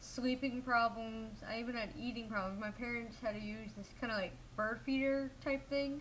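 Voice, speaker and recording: A woman with an American accent speaks at a moderate pace and fairly high pitch, her intonation fairly even, with audible room echo. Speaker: vlogger. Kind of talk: personal vlog monologue.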